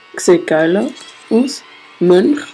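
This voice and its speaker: A woman speaks at a medium pitch with a Swiss accent. Noticeable background noise runs behind her. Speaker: gamer. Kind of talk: casual let's play commentary. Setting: home screen recording, poor audio.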